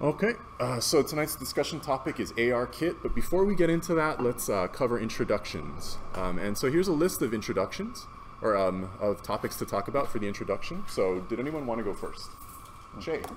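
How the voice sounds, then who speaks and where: Over noticeable background noise, a man with a fairly high pitch makes very wide pitch swings. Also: fairly quick pace. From Hawaii, Manoa. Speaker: meetup organizer. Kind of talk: meetup facilitation. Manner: loud.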